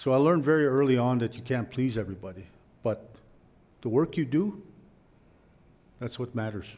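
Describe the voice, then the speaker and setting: With a dark, mellow tone and lively intonation, a man speaks at a medium pitch and a fairly quick pace. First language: Blackfoot. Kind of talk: public speech.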